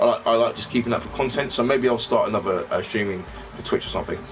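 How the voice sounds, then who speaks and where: Over noticeable background noise, a man speaks in a London accent. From London (Peckham). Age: 30s. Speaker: retro gaming YouTuber. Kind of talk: casual live stream chat. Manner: rambling with many fillers.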